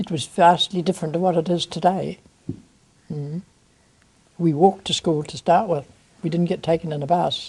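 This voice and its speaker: A somewhat breathy woman speaks at a moderate pace with fairly even intonation, big swings in loudness and long, frequent pauses. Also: fairly low pitch for a woman. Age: 90s. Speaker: elderly interviewee sharing memories. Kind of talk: oral history interview.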